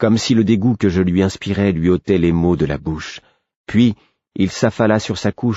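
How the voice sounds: Nothing much sounds in the background. The reading voice is natural, and its pitch varies in an ordinary way.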